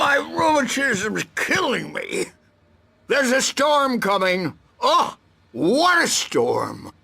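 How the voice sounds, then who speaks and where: A man's put-on character voice, extremely high in pitch, raised and projected, at a very slow pace. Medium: video game.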